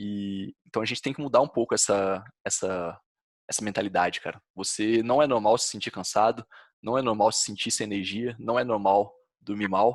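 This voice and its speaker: On a very clean recording with a silent background, a man with a Brazilian accent speaks at a moderate pace with a fairly low pitch and fairly even intonation. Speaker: health podcast co-host. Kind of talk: casual podcast conversation.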